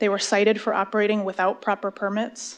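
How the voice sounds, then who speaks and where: Against a quiet background, a woman talks at a fairly quick pace. She has an American accent and a medium pitch. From Sonoma County area, California. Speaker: public commenter. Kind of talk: public comment at council meeting. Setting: city council meeting.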